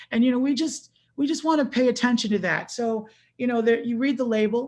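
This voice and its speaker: A woman's voice, somewhat breathy, moves with ordinary pitch variation. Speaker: water quality specialist. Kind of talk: webinar presentation. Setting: video call. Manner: fast.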